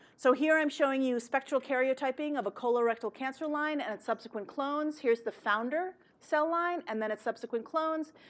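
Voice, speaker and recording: A woman's high voice at a fairly quick pace, ordinary pitch variation, hardly any pauses, on a very clean recording with a silent background. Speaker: biology professor. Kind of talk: lecture. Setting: seminar room with audience. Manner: fast; casual, lively.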